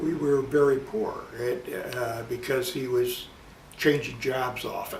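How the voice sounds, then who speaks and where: The American-accented speech carries audible room echo and noticeable background noise. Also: man. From US Midwest, Chicago southwest side. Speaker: interviewee recounting his life. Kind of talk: casual life-story interview. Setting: at home. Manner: halting, with many fillers and repetitions.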